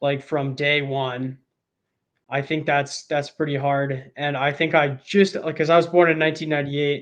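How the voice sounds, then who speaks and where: A man at a fairly high pitch, moderate pace and flat, monotone intonation. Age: 20s. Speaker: online creator, writer and videographer. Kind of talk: casual interview chat. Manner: casual, many filler words.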